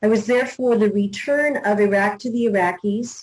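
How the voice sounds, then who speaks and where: The woman has an American accent and a medium pitch. Her voice is somewhat breathy, with ordinary pitch variation. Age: 60s. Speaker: newspaper publisher. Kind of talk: interview.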